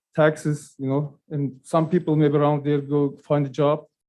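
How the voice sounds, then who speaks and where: A man's fairly high pitch at a fairly slow pace. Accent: non-native. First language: not English. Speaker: business owner. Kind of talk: public testimony. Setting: public meeting. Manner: halting.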